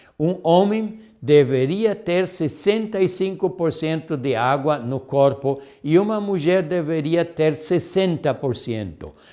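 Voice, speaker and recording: Very slowly and with hardly any pauses, a man speaks in a dark, mellow tone at a fairly high pitch, with ordinary pitch variation. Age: 70s. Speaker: health lecturer. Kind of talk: lecture. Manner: halting, with self-corrections.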